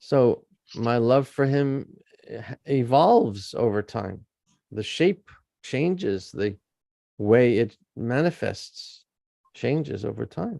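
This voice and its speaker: A man talks at a very slow pace with long, frequent pauses. His dark, mellow tone carries lively intonation. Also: medium pitch for a man. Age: 70s. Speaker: senior spiritual teacher, early disciple. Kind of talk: interview.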